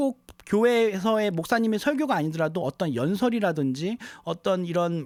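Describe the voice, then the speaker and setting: Lively intonation marks this man's high-pitched voice. He keeps a moderate pace. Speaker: music producer and audio tutorial youtuber. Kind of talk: tutorial. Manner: speeding up as video goes on; halting with fillers and self-corrections.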